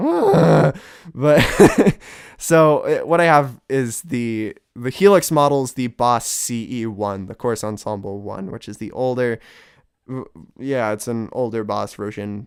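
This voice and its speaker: A man with a medium pitch talks fairly slowly, using ordinary pitch variation. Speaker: guitar gear reviewer. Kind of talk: gear comparison tutorial. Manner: casual, hesitant.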